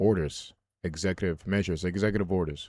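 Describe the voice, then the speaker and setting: With a Haitian accent, a man talks at a fairly quick pace in a very deep, low pitch. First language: Haitian Creole. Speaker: religious video commentator. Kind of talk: casual monologue. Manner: halting.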